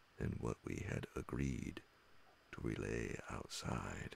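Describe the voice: A man speaks at a fairly slow pace with vocal fry in his voice.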